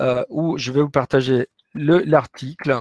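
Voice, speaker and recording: The voice shows ordinary pitch variation, with a dry, close sound and no echo. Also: man. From Latin America. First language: Spanish (speaking French). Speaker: business professor. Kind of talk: webinar lecture with Q&A. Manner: hesitant, many fillers.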